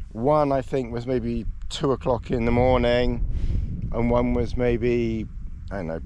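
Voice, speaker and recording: Light background noise sits under a man's voice in dry sound with no echo. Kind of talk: casual vlog chat. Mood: cheerful, laughing. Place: open country. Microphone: phone near.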